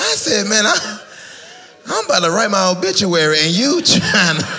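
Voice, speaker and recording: A man's high-pitched, raised and projected voice with a North Carolina accent, moderate pace, ordinary pitch variation and noticeable background noise. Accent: Southern US (North Carolina). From Fayetteville, North Carolina. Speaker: stand-up comedian. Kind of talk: live stand-up comedy set. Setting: live audience in church.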